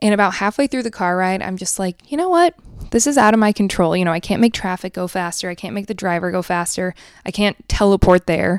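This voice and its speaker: A woman speaks in an animated tone at a very fast pace, her voice dry and close with no echo on a very clean recording with a silent background. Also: medium pitch for a woman, ordinary pitch variation. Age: 30s. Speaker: podcast host. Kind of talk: casual chat.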